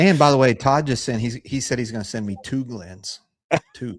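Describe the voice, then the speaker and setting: A man with a slight Texas accent talks at a moderate pace. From Texas, Houston area. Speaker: whiskey channel co-host. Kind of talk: casual chat. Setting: live stream.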